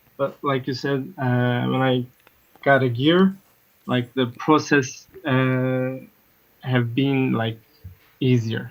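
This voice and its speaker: In a non-native accent, the speaker goes at a very slow pace with long, frequent pauses. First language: not English. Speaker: caller, beatmaker. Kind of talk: casual chat. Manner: hesitant, many fillers.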